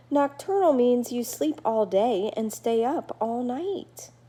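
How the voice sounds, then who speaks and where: A female-sounding voice puts on a character at a high pitch. The delivery is fairly slow. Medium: read story. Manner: tired.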